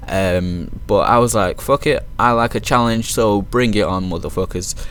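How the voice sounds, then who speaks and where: A man with a British accent at medium pitch, music in the background. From Manchester, northern England. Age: 20s. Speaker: gaming YouTuber and team founder. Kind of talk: casual video intro over gameplay.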